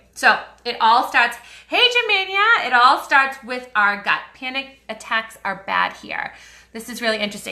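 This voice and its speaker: A woman with an American accent speaks at a moderate pace in a high pitch with lively intonation. Noticeable background noise runs under her voice. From US Northeast, Boston. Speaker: wellness influencer selling essential oils. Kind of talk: live stream chat with viewers. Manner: casual, chatty.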